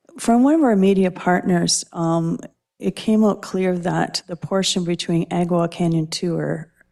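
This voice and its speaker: With a Canadian accent, a woman speaks fairly slowly in a dark, mellow tone, her fairly low pitch carrying fairly even intonation. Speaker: city councillor. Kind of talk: council meeting questioning. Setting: council chamber, televised meeting.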